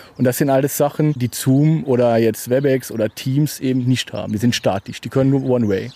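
Speaking at a fairly quick pace with hardly any pauses, a man uses a dark, mellow tone, medium pitch and fairly even intonation. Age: 30s. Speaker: start-up founder, salesman. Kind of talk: interview.

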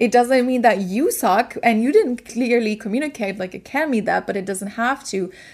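Speaking with a German accent, a woman talks at a moderate pace with hardly any pauses. Her fairly high voice has an animated tone. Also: ordinary pitch variation, very clean recording, silent background. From Germany. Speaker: podcast host, business coach. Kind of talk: casual solo monologue.

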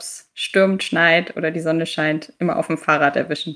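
A woman's fairly low voice carries a monotone, flat intonation. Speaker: corporate sustainability manager. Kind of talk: interview. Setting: video call. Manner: fast.

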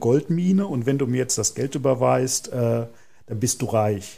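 Speaking at a moderate pace, a man sounds somewhat breathy, with a dark, mellow tone. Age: 40s. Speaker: podcast host, marketing manager. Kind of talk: podcast interview.

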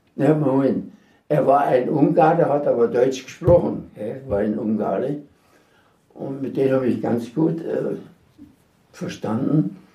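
A man's somewhat breathy, dark, mellow voice at a medium pitch with ordinary pitch variation, fairly slow with long, frequent pauses, in audible room echo. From Sudetenland (Silesia, now Czechia). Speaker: war veteran. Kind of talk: testimony. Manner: halting.

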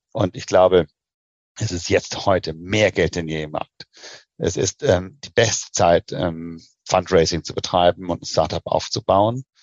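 Pitch rises and falls by a normal amount. Speech moves fairly slowly. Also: man, very deep, low pitch for a man. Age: 40s. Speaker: investment banker. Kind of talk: interview.

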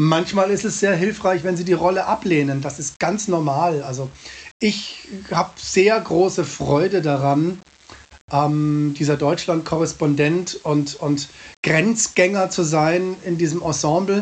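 His high-pitched voice has ordinary pitch variation and moves at a very slow pace. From Munich, Bavaria. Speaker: cabaret artist. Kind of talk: interview. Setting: remote call from home.

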